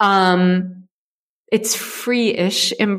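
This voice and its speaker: A woman speaks with an American accent, medium pitch and ordinary pitch variation. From US, Ohio. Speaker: startup founder and CEO. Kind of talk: interview.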